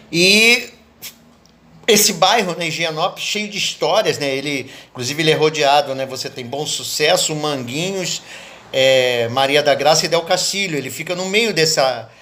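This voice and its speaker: Noticeable background noise sits behind a man who speaks at a moderate pace with a fairly high pitch. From Brazil, Rio de Janeiro (Leopoldina suburbs). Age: 70s. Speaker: poet and cultural activist. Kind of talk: interview monologue, reminiscing.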